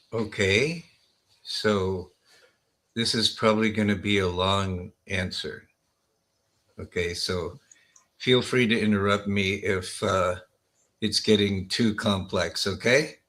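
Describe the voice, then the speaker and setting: A man with an American accent and a fairly low, bright, sharp voice talks very slowly with fairly even intonation. He pauses long and often, and the recording is very clean with a silent background. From US West Coast, Los Angeles. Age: 60s. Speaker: healer and wellness doctor. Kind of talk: podcast interview.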